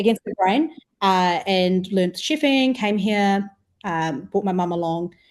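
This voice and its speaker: A woman with a New Zealand accent, medium pitch, lively intonation and a fairly slow pace. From New Zealand, Wellington. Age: 20s. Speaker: food startup co-founder. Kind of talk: podcast interview.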